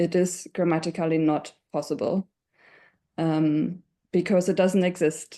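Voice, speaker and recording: A woman's fairly low, dark, mellow voice with a German accent, fairly slow and fairly even in intonation, against a quiet background. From Germany. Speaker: webinar panelist. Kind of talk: panel discussion.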